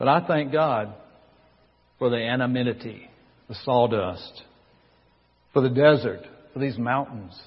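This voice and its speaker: A man with a Southern US accent at a medium pitch and ordinary pitch variation, speaking at a fairly slow pace with long, frequent pauses amid audible room echo. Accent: Southern American. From US South, North Carolina. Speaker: pastor. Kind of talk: sermon.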